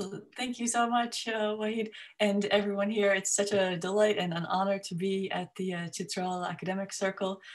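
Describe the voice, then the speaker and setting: A woman speaks with an American accent at a medium pitch. Her intonation is monotone and flat. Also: moderate pace. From US, upstate New York. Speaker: academic geographer. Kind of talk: informal talk to a discussion group.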